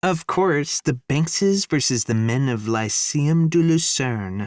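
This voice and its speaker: A man puts on a squeaky character voice pitched fairly high for a man. He speaks at a fairly slow pace, and the sound is dry and close with no echo. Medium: read story. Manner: excitable, squeaky.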